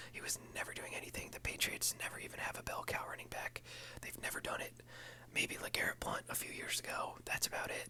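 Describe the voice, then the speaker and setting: A man whispers at a very fast pace. Noticeable background noise is present. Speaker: ASMR and fantasy football content creator. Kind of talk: casual talk to camera. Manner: whispered.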